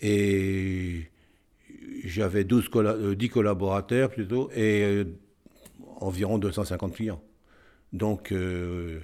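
A man's dark, mellow voice at a fairly low pitch, with fairly even intonation and long, frequent pauses, on a very clean recording with a silent background. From northern France, Cambrai. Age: 80s. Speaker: retired accountant. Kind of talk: interview testimony. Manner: halting, with repetitions.

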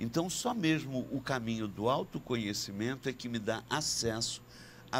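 Vocal fry runs through a man's medium-pitched voice. He speaks at a fairly slow pace with lively intonation. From Brazil, Rio de Janeiro / Niterói. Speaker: shaman and psychiatrist. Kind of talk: interview conversation.

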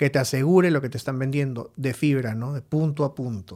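This very clean recording, silent background carries an unremarkable speaking voice from a man at medium pitch. He speaks at a moderate pace with fairly even intonation. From Peru, Lima. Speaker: IT security entrepreneur. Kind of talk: interview.

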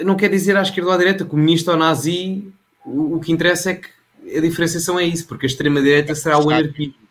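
A man with a high pitch speaks very fast with fairly even intonation. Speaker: local politician and political content creator. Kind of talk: casual political interview.

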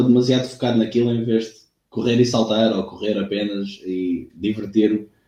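With a dark, mellow tone, a man speaks at a fairly quick pace with fairly even intonation. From Algarve, Portugal (Lagos). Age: 20s. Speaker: athletics coach. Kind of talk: casual interview.

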